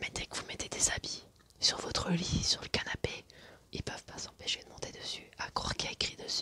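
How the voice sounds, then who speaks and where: Over noticeable background noise, a woman whispers at a fairly quick pace. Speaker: ASMR creator. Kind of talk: ASMR show and tell, casual talk to camera.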